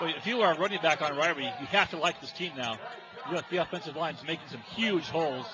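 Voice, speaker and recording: A high-pitched man talks at a very fast pace with lively intonation, with noticeable background noise behind him. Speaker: play-by-play sports commentator. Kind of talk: live commentary. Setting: high school football stadium.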